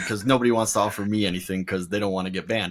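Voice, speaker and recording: A man talks at a fairly low pitch. Noticeable background noise is present. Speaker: golf podcast host, guest on show. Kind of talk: casual chat. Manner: fast.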